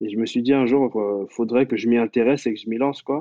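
The speaker is a man. His delivery keeps a fairly even intonation. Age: 20s. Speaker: web developer. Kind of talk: interview.

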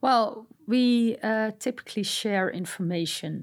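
A woman with a Dutch accent uses lively intonation on a very clean recording with a silent background. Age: 40s. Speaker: cybersecurity director. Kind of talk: interview. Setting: studio.

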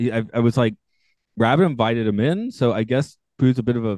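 Speaking with an American accent, a man with a normal speaking voice and medium pitch keeps a fairly quick pace. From US South. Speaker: podcast host. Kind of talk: casual chat. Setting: video call.

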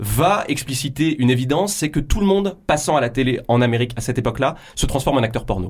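A man speaks at a fairly quick pace with lively intonation and a medium pitch. His voice is somewhat breathy. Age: 30s. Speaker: film critic and author. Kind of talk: radio interview. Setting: radio studio. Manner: hesitant, many fillers.

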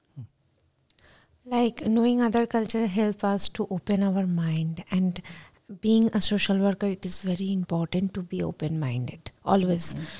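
Speaking at a moderate pace with an Indian accent, this somewhat breathy voice shows ordinary pitch variation and sounds dry and close, with no echo. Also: woman, medium pitch for a woman. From India, West Bengal. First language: Bengali. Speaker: graduate student. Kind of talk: casual discussion. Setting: studio.

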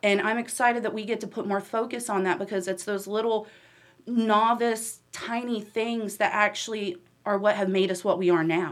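A woman with an American accent has an unremarkable speaking voice, fairly high in pitch, with fairly even intonation at a moderate pace. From Huntersville, North Carolina. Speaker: town commissioner and nonprofit director. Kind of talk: casual chat.

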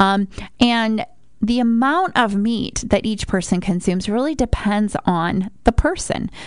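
A woman with a plain, everyday voice speaks at a fairly high pitch. Her pace is fairly slow and her intonation lively. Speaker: radio host and nutrition coach. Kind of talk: radio interview. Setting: live radio show.

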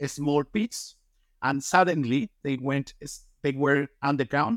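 A man with a Colombian accent talks at a fairly slow pace, fairly high in pitch with ordinary pitch variation. The recording is very clean with a silent background and a dry, close sound with no echo. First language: Spanish. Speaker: mining company executive. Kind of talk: interview. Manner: enthusiastic.

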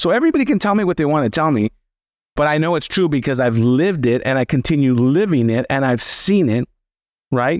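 A man with an ordinary speaking voice and an American accent, fairly high pitch, lively intonation, fairly quick pace and very even loudness, in a very clean recording with a silent background. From Los Angeles (Boyle Heights), Southern California. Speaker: financial planner and author. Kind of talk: interview conversation.

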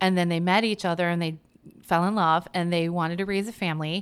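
In an American accent, a woman with a fairly low pitch and a plain, everyday voice talks at a moderate pace with fairly even intonation. The recording is very clean, with a silent background. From US Midwest, Chicago suburbs. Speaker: poet and writer. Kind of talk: casual interview.

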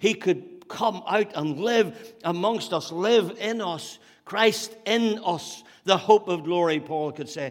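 Speaking at a very slow pace with a Northern Irish accent, a man with a high pitch uses ordinary pitch variation. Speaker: pastor. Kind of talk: sermon. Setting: church.

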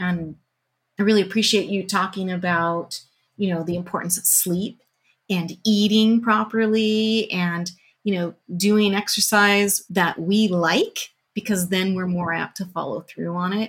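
The voice is somewhat breathy, with monotone, flat intonation at a fairly slow pace. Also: woman, medium pitch for a woman. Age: 50s. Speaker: podcast host, army veteran. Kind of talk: casual chat.

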